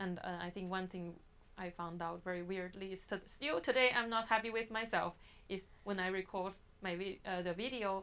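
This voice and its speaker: Her tone is bright and sharp, with medium pitch. The woman keeps fairly even intonation at a moderate pace. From China. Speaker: marketing professional. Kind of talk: podcast interview. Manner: halting, with false starts.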